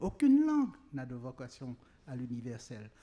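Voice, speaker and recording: This man's voice sits fairly high in pitch, with a dark, mellow tone. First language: Creole (speaking French). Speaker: writer. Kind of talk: panel discussion. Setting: outdoor tent at public event.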